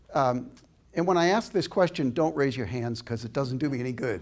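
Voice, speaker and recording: This is a man speaking. He has an American accent. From Boston, Massachusetts. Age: 70s. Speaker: inspirational speaker. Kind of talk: public lecture with audience Q&A. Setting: stage with audience. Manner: animated.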